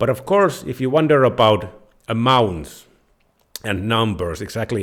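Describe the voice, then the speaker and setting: A man speaks at a medium pitch with lively intonation and a Finnish accent. The recording is very clean, with a silent background. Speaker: personal finance YouTuber. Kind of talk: tutorial.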